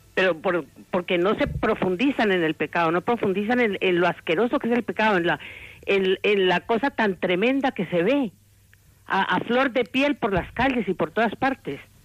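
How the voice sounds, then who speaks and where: In a normal speaking voice at medium pitch, a woman talks with very even loudness, the sound dry and close with no echo over a quiet background. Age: 60s. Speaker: radio caller, lay evangelist. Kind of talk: phone-in call. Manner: fast.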